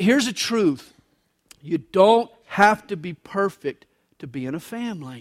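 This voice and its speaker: A man with a high pitch speaks with very wide pitch swings and big swings in loudness, the sound dry and close with no echo. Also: fairly slow pace. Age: 50s. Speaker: pastor. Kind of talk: sermon. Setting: church.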